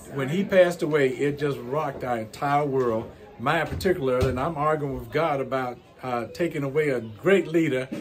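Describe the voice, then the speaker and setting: Music plays in the background and room echo is audible as a speaker with an American accent talks at a moderate pace with ordinary pitch variation. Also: man. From US South. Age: 60s. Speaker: pastor. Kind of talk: interview. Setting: church.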